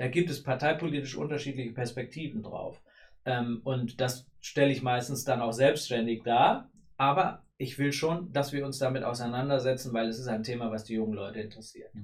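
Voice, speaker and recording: A man speaks at a moderate pace in a medium-pitched, somewhat breathy voice. His pitch varies in an ordinary way. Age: 30s. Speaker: state politician. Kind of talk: interview. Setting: studio.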